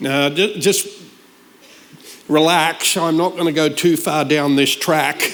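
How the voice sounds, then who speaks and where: With audible room echo, a man speaks at a fairly high pitch. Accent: slight Australian. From Australia. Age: 60s. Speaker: guest preacher. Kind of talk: sermon. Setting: church service.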